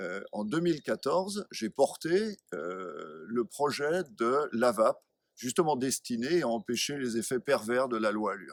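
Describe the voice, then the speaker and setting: A man speaks very slowly at a medium pitch, with very wide pitch swings. The sound is dry and close, with no echo. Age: 60s. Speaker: local election candidate, retired executive. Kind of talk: interview. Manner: formal.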